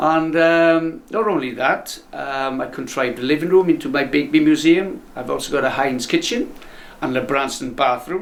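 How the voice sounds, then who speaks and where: Moderate-paced male speech over noticeable background noise. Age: 60s. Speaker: eccentric museum owner. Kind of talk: casual interview.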